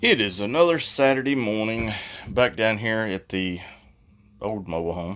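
In a quiet background, a man with a fairly low voice speaks at a fairly slow pace with lively intonation. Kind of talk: casual DIY vlog narration. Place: bathroom. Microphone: phone near.

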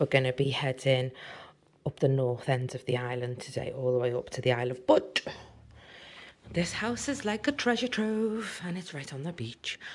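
A woman speaks in a very deep, low pitch with lively intonation. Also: moderate pace. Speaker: travel vlogger. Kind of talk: casual vlog chat. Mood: cheerful, enthusiastic. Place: home room.

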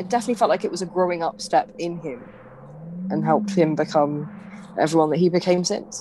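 Amid noticeable background noise, a woman talks at a very fast pace with a fairly low pitch and ordinary pitch variation, broken by long, frequent pauses. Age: 20s. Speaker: podcast co-host. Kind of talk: casual chat.

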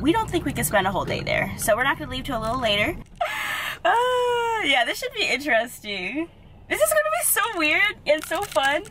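Over noticeable background noise, a woman speaks at a fairly quick pace in a raised, projected voice, the sound dry with no echo. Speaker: travel vlogger. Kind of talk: casual vlog chat. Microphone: phone near.

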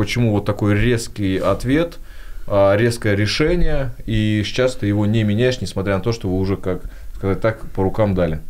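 A man speaks in a plain, everyday voice, fairly low in pitch. His pace is moderate and his pitch varies in an ordinary way. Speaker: podcast host. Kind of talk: casual interview. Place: studio. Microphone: studio mic.

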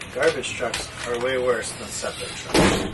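A man talks very slowly while loud background noise fills the recording. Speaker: co-host. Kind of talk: casual vlog chat. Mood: playful, joking. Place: home room. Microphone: camera far.

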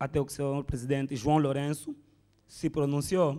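Someone with an Angolan accent speaks at a moderate pace against a quiet background. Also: man. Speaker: stand-up comedian. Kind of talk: stand-up comedy, political satire. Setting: stage with audience. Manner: conversational, rhetorical questions to audience. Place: hall. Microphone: handheld.

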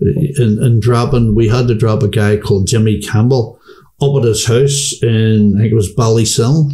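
With a Belfast accent, a man speaks at a moderate pace in a dark, mellow, somewhat breathy tone with ordinary pitch variation. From Northern Ireland, Belfast. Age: 60s. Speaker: former paramilitary; interviewee. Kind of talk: interview. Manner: halting. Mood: calm, candid storytelling. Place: home room. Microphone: studio mic.

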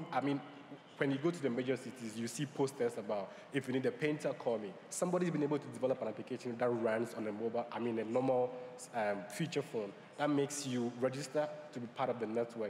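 The speech moves at a very fast pace with ordinary pitch variation. Noticeable background noise sits behind it. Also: man, medium pitch for a man. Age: young. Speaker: new media entrepreneur and panelist. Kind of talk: conference panel discussion.

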